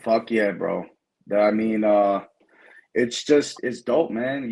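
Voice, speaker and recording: The man speaks at a medium pitch and a fairly slow pace. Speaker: rapper. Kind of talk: casual chat.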